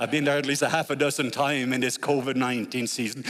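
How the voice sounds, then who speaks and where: This man has a slight Norwegian accent. The recording is very clean and the background silent. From Norway. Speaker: guest preacher. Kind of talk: sermon. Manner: animated.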